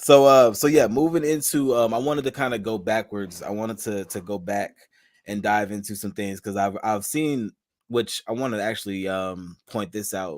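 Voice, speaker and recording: A man speaks in a normal speaking voice with an American accent, fairly low in pitch. His moderate pace and ordinary pitch variation come through in a very clean recording with a silent background. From Charlotte, North Carolina. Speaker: podcast host. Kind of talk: casual interview.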